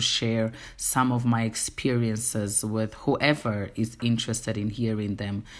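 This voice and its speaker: In a Portuguese accent, a woman speaks with a very deep, low pitch and a monotone, flat intonation. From Angola. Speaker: TV host and actress. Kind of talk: casual monologue.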